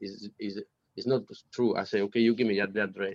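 The speech moves at a moderate pace with a dry, close sound and no echo. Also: man. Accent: Italian. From Sardinia, Italy. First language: Italian. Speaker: pianist. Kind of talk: casual interview. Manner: halting.

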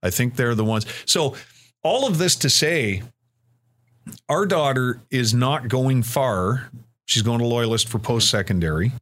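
This man has a Canadian accent and a medium pitch with ordinary pitch variation. He talks at a fairly slow pace in a very clean recording with a silent background. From Ontario, Canada. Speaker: radio host and program director. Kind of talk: casual interview.

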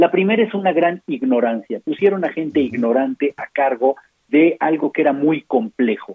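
Very wide pitch swings in a man's fairly high-pitched voice. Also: moderate pace. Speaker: physician and health policy author. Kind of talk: interview. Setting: phone call.

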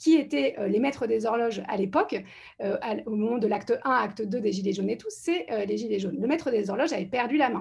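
The voice has vocal fry and lively intonation. It moves at a fairly quick pace. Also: woman, fairly high pitch for a woman. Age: 40s. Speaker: political candidate. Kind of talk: panel discussion.

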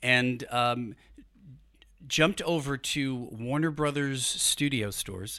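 A man's medium-pitched voice with an American accent, a bright, sharp tone, ordinary pitch variation and a very slow pace. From New York City, Brooklyn. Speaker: human resources executive. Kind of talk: casual interview. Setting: studio.

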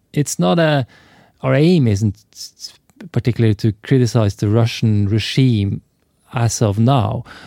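A man speaks at a medium pitch with a Norwegian accent. His tone is dark and mellow, and the sound is dry and close with no echo. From Norway. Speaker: film and TV director. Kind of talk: interview. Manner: halting, many repetitions.

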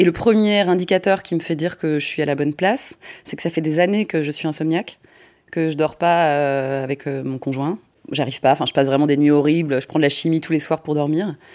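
Fairly quick speech from a woman with a very deep, low pitch. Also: ordinary pitch variation. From provincial France. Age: 40s. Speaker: interviewee sharing personal story. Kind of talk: testimony. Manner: halting.

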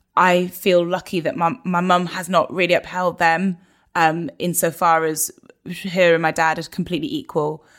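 A woman with a British accent, fairly low pitch, fairly even intonation and moderate pace. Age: 30s. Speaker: broadcaster and presenter. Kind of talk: casual chat. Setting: video call.

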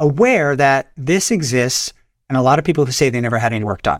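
The recording is very clean, with a silent background. A man speaks at a fairly quick pace in an ordinary speaking voice. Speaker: plastic surgeon. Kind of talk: casual expert interview.

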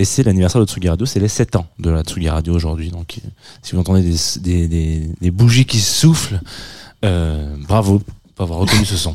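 In a very clean recording with a silent background, a man speaks at a moderate pace in a very deep, low pitch with ordinary pitch variation. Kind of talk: casual chat. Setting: studio.

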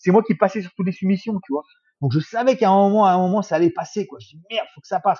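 A very fast male voice with a dark, mellow tone, ordinary pitch variation and a dry, close sound with no echo. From France, Paris region and Bourges. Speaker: former MMA fighter. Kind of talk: casual chat.

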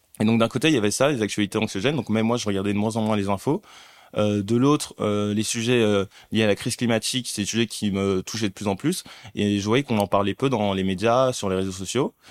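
Very fast, fairly low-pitched speech from a man, fairly even in intonation, in a very clean recording with a silent background and a dry, close sound with no echo. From Paris region, born in Mali. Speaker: content creator and investor. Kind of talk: casual interview.

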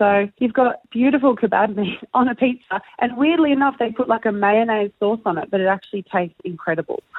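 A woman with an Australian accent talks at a fairly quick pace, with ordinary pitch variation and hardly any pauses. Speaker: air guitar competitor. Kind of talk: casual chat. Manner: animated.

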